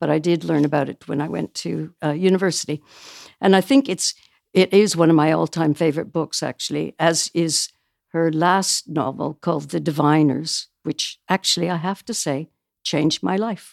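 On a very clean recording with a silent background, a woman with a Canadian accent speaks at a moderate pace in a very deep, low pitch with vocal fry. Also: ordinary pitch variation, dry, close sound with no echo. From small-town Canada. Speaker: book publisher. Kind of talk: casual chat.

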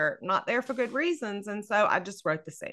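A woman with a Southern US accent, a bright, sharp tone and a fairly quick pace. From US South, North Louisiana. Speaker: novelist. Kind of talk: casual chat. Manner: animated.

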